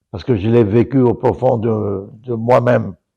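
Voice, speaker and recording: A man with a dark, mellow tone, a very slow pace and ordinary pitch variation. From Togo. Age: 80s+. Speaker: political economist. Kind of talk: interview commentary.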